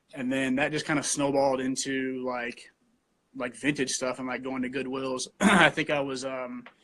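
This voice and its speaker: Fairly high-pitched, a man talks at a moderate pace in an unremarkable speaking voice. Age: 20s. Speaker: vintage store co-owner. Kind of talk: casual interview.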